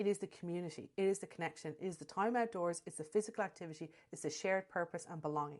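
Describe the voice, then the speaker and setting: The speech comes at a very fast pace with hardly any pauses, ordinary pitch variation and big swings in loudness. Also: woman, fairly low pitch for a woman. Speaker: animal behaviourist podcaster. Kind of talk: scripted commentary.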